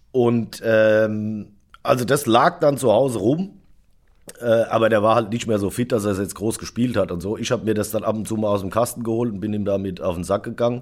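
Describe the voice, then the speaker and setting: At a moderate pace, a man with medium pitch and ordinary pitch variation talks in an unremarkable speaking voice. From Germany, Darmstadt (Hesse). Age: 40s. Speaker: drummer. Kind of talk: casual chat.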